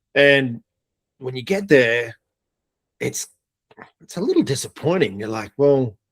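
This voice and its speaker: Fairly slow speech in an Australian accent, lively intonation, long and frequent pauses, and a dry, close sound with no echo. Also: man, medium pitch for a man, big swings in loudness. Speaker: air force veteran. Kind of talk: casual interview.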